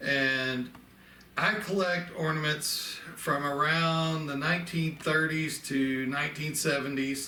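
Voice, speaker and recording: Amid noticeable background noise and audible room echo, a man with a Southern accent speaks at a very slow pace, fairly high in pitch with fairly even intonation. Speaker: antique ornament collector. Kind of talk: casual show-and-tell video. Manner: conversational, with fillers.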